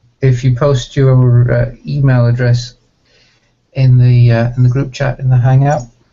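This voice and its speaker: Speaking with a British accent, a man uses a somewhat breathy, medium-pitched voice with monotone, flat intonation, a fairly slow pace, very even loudness and long, frequent pauses. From Iceland, British parents. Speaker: software project organiser. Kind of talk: casual chat.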